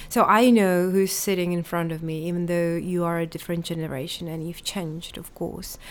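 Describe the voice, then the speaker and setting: Hardly pausing, a woman with a fairly low pitch talks at a fairly quick pace with fairly even intonation. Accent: Czech. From Czech Republic. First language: Czech. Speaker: literature lecturer and school director. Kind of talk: interview.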